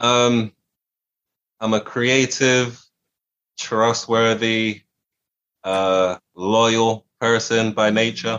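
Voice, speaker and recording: A man with a medium pitch speaks in an American accent. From England, with early childhood in Washington DC. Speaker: musician. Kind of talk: interview.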